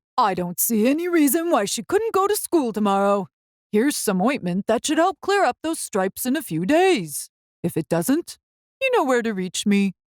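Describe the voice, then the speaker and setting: In a put-on character voice, a woman mumbles at a moderate pace with a high pitch and very wide pitch swings, the sound dry and close with no echo. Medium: read story. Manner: fussy, mumbling.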